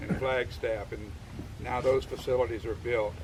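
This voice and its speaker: Moderately paced male speech at medium pitch, set against noticeable background noise. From Louisiana. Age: 70s. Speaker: war veteran and retired army colonel. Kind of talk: speech to veterans. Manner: halting, many fillers and restarts.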